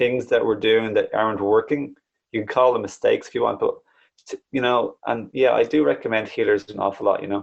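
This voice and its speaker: A man with an Irish accent at a fairly quick pace. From Ireland. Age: 30s. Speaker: spiritual wellbeing coach and YouTuber. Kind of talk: podcast interview. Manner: animated.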